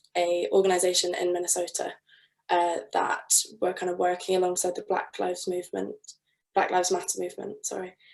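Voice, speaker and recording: This is a woman's voice. She speaks in a southern English accent. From southern England. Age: 20s. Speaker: architect in training and artist. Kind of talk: interview. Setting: video call.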